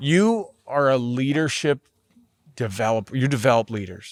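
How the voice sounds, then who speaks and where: A man talks at a fairly slow pace, his pitch rising and falling in an ordinary way. The sound is dry and close, with no echo. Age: 40s. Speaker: podcast host. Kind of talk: podcast interview.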